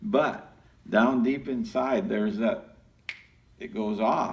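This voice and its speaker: A man speaks at a very slow pace in a room with audible echo and noticeable background noise. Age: old. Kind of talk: group discussion.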